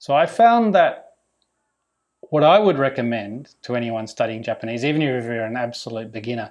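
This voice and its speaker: A man with a medium pitch talks at a moderate pace, his intonation lively. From Australia, Melbourne. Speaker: vlogger renovating a house. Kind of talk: Q&A vlog monologue.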